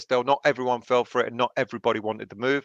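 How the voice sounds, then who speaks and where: In a quiet background with dry sound and no echo, a man talks with fairly even intonation. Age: 30s. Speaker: football fan channel host; fan show host. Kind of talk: casual chat. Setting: video call. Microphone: headset.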